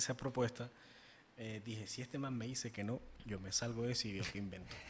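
Moderate speed, fairly even intonation and a somewhat breathy quality. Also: man. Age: 20s. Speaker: podcast co-host, marketing consultant. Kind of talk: casual chat.

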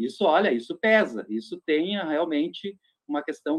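A man's high-pitched voice with lively intonation, at a fairly slow pace. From Rio Grande do Sul interior (Nonoai). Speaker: LGBT activist group coordinator. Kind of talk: radio interview discussion.

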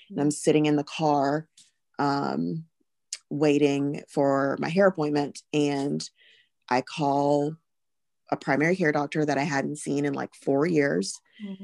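A woman in a Southern US accent, very deep and low in pitch, with ordinary pitch variation and a fairly slow pace, in a dry, close sound with no echo. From US South (Alabama). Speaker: pharmacist and mother. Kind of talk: personal testimony in interview.

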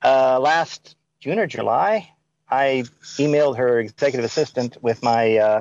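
A man speaks with an American accent at medium pitch. His pitch varies in an ordinary way, and the sound is dry and close with no echo. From US South. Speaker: caller. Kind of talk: call-in debate.

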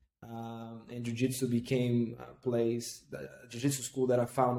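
Speaking fairly slowly with a Portuguese accent, a man has a medium pitch and a dark, mellow tone. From northeast Brazil (Recife). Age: 30s. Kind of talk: casual interview.

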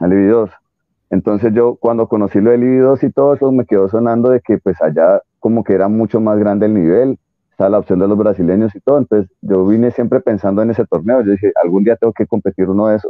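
A man's fairly low voice at a very fast pace, fairly even in intonation and very even in loudness. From Colombia. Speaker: jiu-jitsu competitor, former triathlete. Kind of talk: interview.

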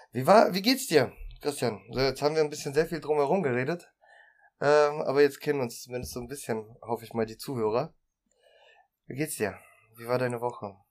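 At a fairly quick pace, a man with a fairly high pitch and ordinary pitch variation speaks with long, frequent pauses and big swings in loudness. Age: 30s. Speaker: union youth representative. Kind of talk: casual chat.

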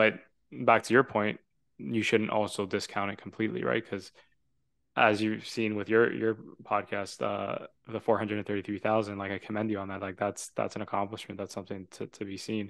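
A man with a plain, everyday voice talks at a fairly quick pace, with a fairly low pitch and fairly even intonation. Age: 20s. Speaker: podcast host. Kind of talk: casual chat.

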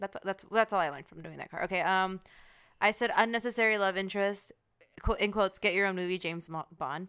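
A woman talks very fast in a bright, sharp tone, with fairly even intonation and big swings in loudness. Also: medium pitch for a woman. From Mexican-American family. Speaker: podcast co-host. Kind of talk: casual chat.

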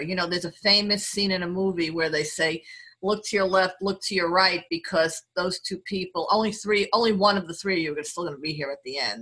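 With a New York accent, a woman speaks at a medium pitch in a bright, sharp tone with ordinary pitch variation. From New York City. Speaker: lawyer and diversity executive. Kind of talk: casual interview chat.

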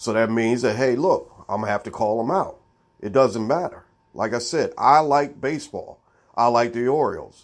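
A man with an American accent and an unremarkable speaking voice talks at a moderate pace and medium pitch, with ordinary pitch variation. The recording is very clean, with a silent background. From Baltimore, Maryland, US. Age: middle-aged. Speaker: sports podcast host. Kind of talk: solo sports commentary monologue.

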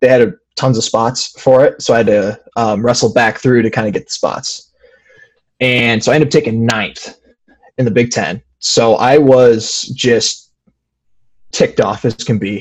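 A man's medium-pitched voice at a moderate pace with fairly even intonation, a plain, everyday voice. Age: 20s. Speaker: wrestler. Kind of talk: interview.

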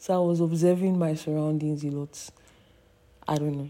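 With a dark, mellow tone, a woman speaks in a very deep, low pitch and a monotone, flat intonation. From Nigeria. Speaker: podcaster, student. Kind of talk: solo monologue. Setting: at home, portable microphone.

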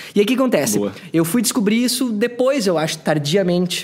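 Noticeable background noise under a man's very wide pitch swings. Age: 30s. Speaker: podcaster. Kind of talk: casual chat. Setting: brewery taproom.

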